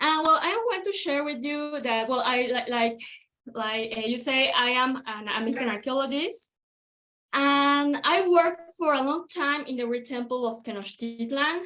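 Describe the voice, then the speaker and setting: Raised and projected, the voice has a bright, sharp tone and a Spanish accent, moving at a moderate pace with ordinary pitch variation. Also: woman. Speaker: archaeologist. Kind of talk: panel presentation. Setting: video call. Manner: halting.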